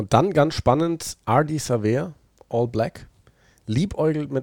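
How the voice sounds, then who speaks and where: A man's dark, mellow tone with lively intonation, in a very clean recording with a silent background. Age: 30s. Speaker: rugby podcast host. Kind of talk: casual chat.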